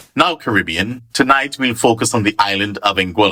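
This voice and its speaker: A man talks at a fairly quick pace in a plain, everyday voice with ordinary pitch variation. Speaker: news show host. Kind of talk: news broadcast intro.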